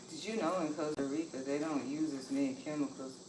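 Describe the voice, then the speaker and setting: Against noticeable background noise and audible room echo, a woman with a very deep, low pitch talks at a fairly quick pace with ordinary pitch variation. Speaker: livestreamer sharing lifestyle and cooking reflections. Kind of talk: casual livestream chat while cooking. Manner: soft-spoken, keeping quiet.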